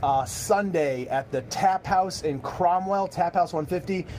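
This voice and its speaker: A man speaks while noticeable noise carries on in the background. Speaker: bowling pro shop owner and livestream host. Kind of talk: casual livestream chat. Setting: live video stream in a bowling shop. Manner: halting, many repeated words.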